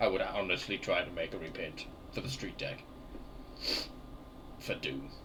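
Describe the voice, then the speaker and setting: A man speaks at a moderate pace with long, frequent pauses, and the room echo is audible. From England. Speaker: gaming streamer. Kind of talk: casual live-stream chat while gaming. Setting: live stream with webcam.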